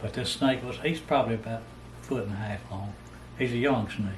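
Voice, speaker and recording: A man with a Southern US accent talks at a fairly quick pace in a fairly low pitch, with fairly even intonation. Noticeable background noise and audible room echo fill the recording. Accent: Southern US rural. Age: 70s. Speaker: storyteller. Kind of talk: casual storytelling. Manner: halting.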